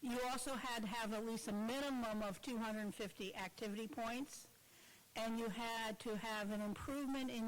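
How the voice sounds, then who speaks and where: A woman speaks at a fairly high pitch with ordinary pitch variation and a moderate pace. She has a normal speaking voice. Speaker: awards presenter. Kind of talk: awards ceremony presentation. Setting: breakfast event with audience.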